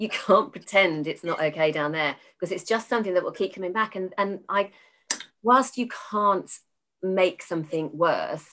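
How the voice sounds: A woman speaks with a fairly low pitch and ordinary pitch variation. Her tone is fairly bright.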